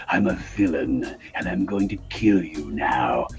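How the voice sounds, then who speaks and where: A man puts on a character voice at a fairly slow pace. Music plays clearly in the background. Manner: menacing.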